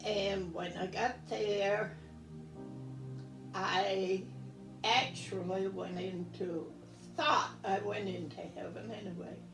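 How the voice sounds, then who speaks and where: A woman's very slow speech with long, frequent pauses over music in the background. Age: 80s+. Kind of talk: interview answer.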